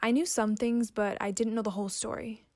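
Against a silent background on a very clean recording, a woman with a plain, everyday voice talks at a fairly quick pace, with a fairly high pitch and fairly even intonation. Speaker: student storyteller. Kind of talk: scripted narration.

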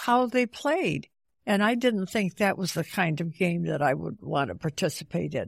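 With an American accent and vocal fry, a woman speaks in very wide pitch swings, her sound dry and close with no echo against a quiet background. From central New York State. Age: 90s. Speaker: retired teacher. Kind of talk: interview. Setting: retirement home. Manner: halting, many fillers.

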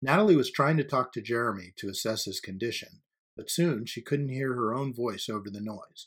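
The background stays quiet while the speaker is reading aloud in a natural voice.

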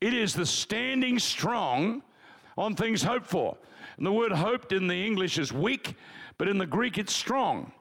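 Speaking in an Australian accent, a man talks at a high pitch with lively intonation and an animated tone. His loudness stays very even throughout. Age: 70s. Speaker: pastor. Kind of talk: sermon. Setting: church.

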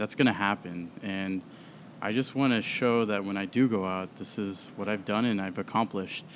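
A man with an American accent speaks in a normal speaking voice, fairly low, at a moderate pace with fairly even intonation. The recording is very clean, with a silent background. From US Midwest, Des Moines, Iowa. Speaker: whiskey brand sales representative. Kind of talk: casual chat. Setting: upstairs room at a brewery, drinking beer.

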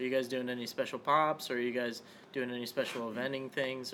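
This man has a bright, sharp tone at a medium pitch. He talks at a fairly quick pace in a monotone, flat delivery. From Las Vegas. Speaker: podcast host. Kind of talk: casual interview. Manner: halting, many fillers.

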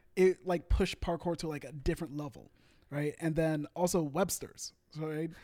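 Big swings in loudness mark a man's dark, mellow voice, fairly high in pitch, delivered at a moderate pace with fairly even intonation. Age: 20s. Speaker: parkour coach. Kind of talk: casual chat.

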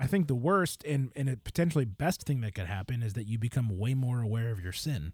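Somewhat breathy, a man rushes along at a very fast pace with lively intonation and hardly any pauses. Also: medium pitch for a man. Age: 30s. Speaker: podcast co-host. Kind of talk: casual chat about faith and a book. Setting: remote recording over the internet.

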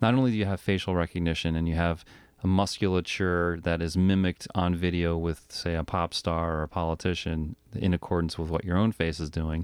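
A very deep, low man's voice with fairly even intonation, dry, close sound with no echo, and a quiet background. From Rhode Island. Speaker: podcast co-host. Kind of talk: casual chat.

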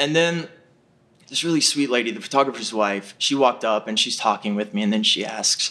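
His pitch swings very widely. The man speaks at a fairly quick pace. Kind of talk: storytelling. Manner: halting.

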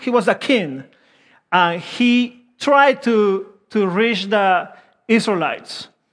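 A man speaks with a Peruvian accent and ordinary pitch variation. The background is quiet. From Peru (Lima). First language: Spanish. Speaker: preacher. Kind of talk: sermon. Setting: church.

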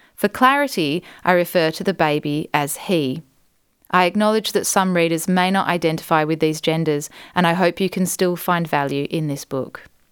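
A woman's warm, gentle voice, fairly low in pitch, in an Australian accent, with ordinary pitch variation, a moderate pace and a very clean recording over a silent background. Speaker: podcast host and book author. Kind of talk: literary audiobook reading, author narrating her own book. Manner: warm, measured and gentle narration with a reflective, sincere tone.

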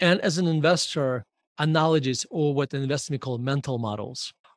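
A somewhat breathy man speaks at a fairly quick pace with ordinary pitch variation, in a very clean, dry, close recording with no echo and a silent background. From Murmansk, Russia.

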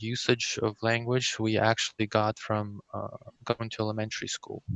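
A man with a Russian accent talks at a moderate pace in a medium pitch. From Kazakhstan, then raised mostly in US West Coast. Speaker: bilingual immigrant interviewee. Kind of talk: interview. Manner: hesitant, many fillers.

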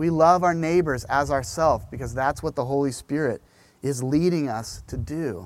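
A man's ordinary speaking voice, at a moderate pace, pitched fairly high, with ordinary pitch variation. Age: 40s. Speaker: pastor. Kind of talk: sermon.

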